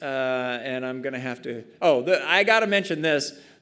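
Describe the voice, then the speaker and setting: Audible room echo surrounds a man who speaks at a moderate pace with ordinary pitch variation. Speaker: conference speaker. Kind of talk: conference talk. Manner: hesitant, many fillers.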